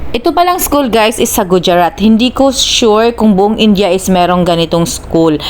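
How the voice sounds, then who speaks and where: Over noticeable background noise, a woman with a Visayan accent talks at a moderate pace with lively intonation. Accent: Visayan-accented Tagalog. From Philippines, Visayas. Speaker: vlogger. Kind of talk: casual vlog narration.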